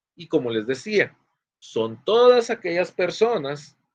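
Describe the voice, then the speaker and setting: A man's voice moves through very wide pitch swings, recorded dry and close with no echo against a quiet background. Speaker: law professor. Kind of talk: lecture. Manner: fast.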